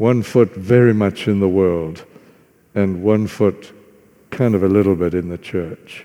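The man's fairly low voice has a dark, mellow tone, moving at a fairly slow pace with fairly even intonation. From Zimbabwe (former Southern Rhodesia), farm. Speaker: visiting preacher. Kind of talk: sermon. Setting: church.

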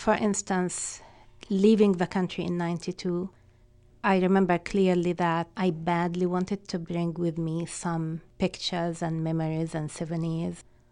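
In an Arabic accent, a woman speaks at a moderate pace in a fairly low, dark, mellow voice with monotone, flat intonation over a quiet background. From Palestine. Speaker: community organization director. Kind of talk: personal testimony.

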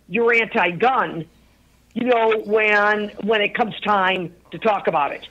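Here a woman speaks at a fairly high pitch. Her pitch varies in an ordinary way. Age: 60s. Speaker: gun rights activist. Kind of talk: casual chat. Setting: phone call. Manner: animated.

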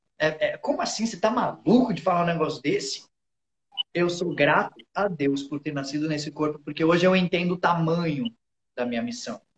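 Ordinary pitch variation and an animated tone carry along at a fairly quick pace. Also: man, high pitch for a man. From interior of São Paulo state, Brazil. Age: 30s. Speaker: motivational speaker. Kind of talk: casual chat.

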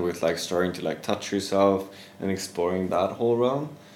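Audible room echo surrounds a man speaking with a Swedish accent. His fairly low voice keeps a fairly even intonation. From Sweden. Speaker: yoga teacher. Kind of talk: casual interview.

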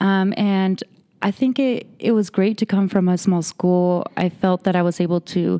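In a dark, mellow tone, a woman with a Spanish accent speaks at a moderate pace and medium pitch with fairly even intonation and very even loudness, in a dry, close sound with no echo on a very clean recording with a silent background. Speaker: behavioral health case manager. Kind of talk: interview.

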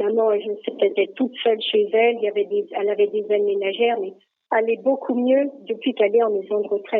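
A woman talks at a very fast pace. Her voice is fairly high, with fairly even intonation. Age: 70s. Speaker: retiree. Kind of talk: casual chat. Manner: hesitant, many fillers.

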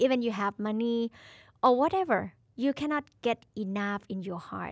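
Dry and close with no echo, a woman speaks in a Thai accent. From Thailand. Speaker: co-host, singer. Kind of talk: casual chat. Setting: studio.

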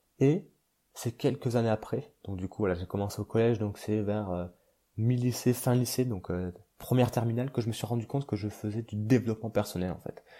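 A man with a dark, mellow tone speaks at a fairly quick pace on a very clean recording with a silent background. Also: medium pitch for a man, fairly even intonation. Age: 20s. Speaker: podcast host. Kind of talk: casual monologue. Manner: halting, many fillers.

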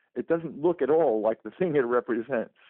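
This man has an unremarkable speaking voice with a fairly high pitch. His intonation is lively. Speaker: professor emeritus and author. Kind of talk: interview. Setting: phone call.

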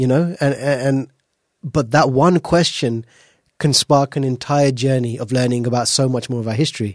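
The speaker has a British accent. The pace is moderate and the intonation fairly even. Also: man, medium pitch for a man. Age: 30s. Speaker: podcast host. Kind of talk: interview. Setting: studio.

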